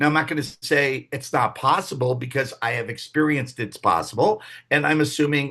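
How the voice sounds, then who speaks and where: The man's tone is bright and sharp, his pitch medium. He speaks at a moderate pace over a quiet background. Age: 60s. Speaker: leadership trainer and coach. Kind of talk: workshop talk. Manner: casual, with filler words.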